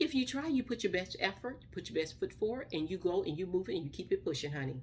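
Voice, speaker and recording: A woman at a fairly quick pace, medium in pitch, with vocal fry and very wide pitch swings. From US South, Mississippi. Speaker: vlogger. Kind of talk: casual vlog talk. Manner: fast, words chopped.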